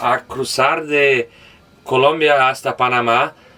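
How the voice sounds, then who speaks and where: A fairly high male voice, bright and sharp in tone. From Brazil, Belo Horizonte. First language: Portuguese (speaking Spanish). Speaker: van traveler. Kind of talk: van tour. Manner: halting.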